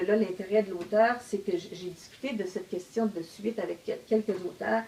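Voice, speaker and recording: At a fairly slow pace, a woman talks with fairly even intonation and a medium pitch. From Quebec, Outaouais region. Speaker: novelist. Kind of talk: casual discussion. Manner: hesitant, many fillers.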